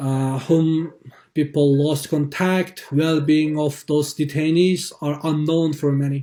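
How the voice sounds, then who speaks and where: Speaking very slowly in a Xinjiang accent, a man with a fairly high pitch has a dark, mellow tone and flat, monotone intonation. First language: Uyghur. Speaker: activist. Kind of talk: testimony. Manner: halting.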